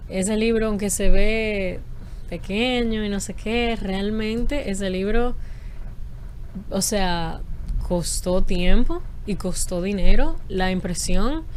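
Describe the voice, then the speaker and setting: A woman at a medium pitch and very slow pace, with ordinary pitch variation, big swings in loudness and long, frequent pauses. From Dominican Republic. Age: 20s. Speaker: poet and linguist. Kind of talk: interview answer. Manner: casual, hesitant.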